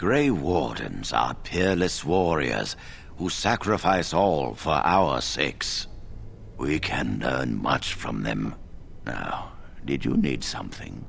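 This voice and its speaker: Putting on a character voice, a man speaks at a very deep, low pitch and a fairly slow pace amid clear background noise. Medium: video game. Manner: measured, formal, authoritative.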